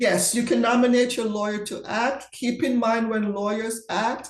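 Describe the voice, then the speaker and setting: Audible room echo rings around a woman as she talks. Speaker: estate and trust professional. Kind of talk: webinar Q&A. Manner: fast.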